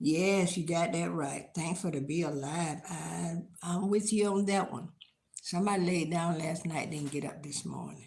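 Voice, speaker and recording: A woman speaks with an American accent and vocal fry. Her pitch is fairly low, her pace moderate, and her intonation fairly even. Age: old. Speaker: lifestyle vlogger. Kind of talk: casual live-stream chat.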